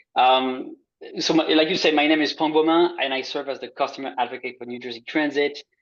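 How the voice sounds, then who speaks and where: A man speaks with a French accent at a fairly high pitch. His pace is fairly quick. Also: fairly even intonation. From France. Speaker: transit customer advocate. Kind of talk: presentation. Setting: video call.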